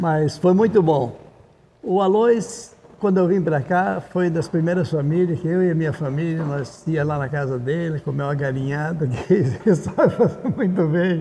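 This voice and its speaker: A man talks at a moderate pace with a fairly high pitch and ordinary pitch variation. There is noticeable background noise. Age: 80s+. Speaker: founder of a gaucho traditions club. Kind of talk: documentary interview testimony.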